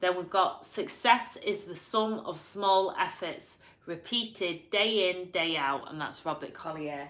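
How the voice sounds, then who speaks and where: A woman with a strong Yorkshire accent speaks at a medium pitch and fairly slow pace with ordinary pitch variation and hardly any pauses. Her loudness swings widely, and there is audible room echo. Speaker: vlogger. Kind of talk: reading quotes aloud with casual comments.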